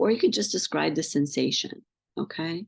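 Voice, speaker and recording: A woman speaks quietly. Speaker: pain psychology coach. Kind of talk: group session Q&A and guided practice. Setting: video call. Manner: voice drops and gets quiet; halting, many fillers.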